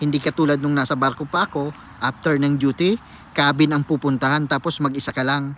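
An unremarkable speaking voice belongs to a man, pitched fairly high. He speaks at a fairly quick pace with fairly even intonation. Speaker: cook and former seafarer vlogger. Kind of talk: vlog monologue answering a viewer comment. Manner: casual, conversational.

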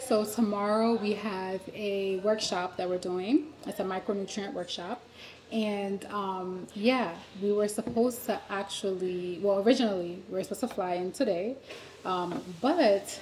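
Speaking at a fairly slow pace, a woman shows ordinary pitch variation. Light background noise is present. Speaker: vlogger on a work trip. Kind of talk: casual vlog chat. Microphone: phone near.

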